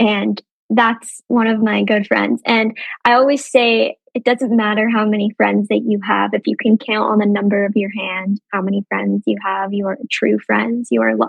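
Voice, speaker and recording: Background music plays throughout. Her speech moves at a medium tempo. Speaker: survivor advocate. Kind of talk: interview answer.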